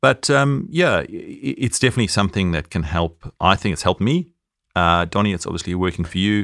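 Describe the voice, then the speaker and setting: With a South African accent, a man speaks at a fairly quick pace in a fairly low pitch with lively intonation. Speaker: podcast co-host, former accountant. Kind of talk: casual chat.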